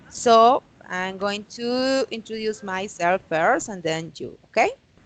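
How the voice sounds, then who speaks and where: In a Colombian accent, a woman speaks at a very slow pace and a fairly high pitch, with ordinary pitch variation and big swings in loudness. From Colombia, Santander. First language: Spanish. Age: 30s. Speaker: English teacher. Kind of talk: online English class. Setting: video call.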